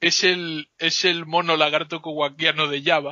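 His voice sits fairly high for a man. The intonation stays flat and monotone throughout. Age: 20s. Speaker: podcast guest. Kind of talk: casual chat.

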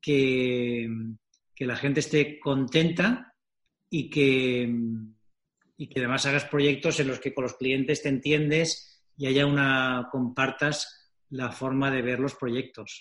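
This man speaks very slowly at a medium pitch, his intonation fairly even. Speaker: company founder and author. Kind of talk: interview.

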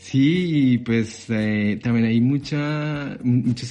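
Dark, mellow male tone, ordinary pitch variation throughout. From Colombia, Bogotá. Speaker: international student. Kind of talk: interview. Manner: halting, repeats words.

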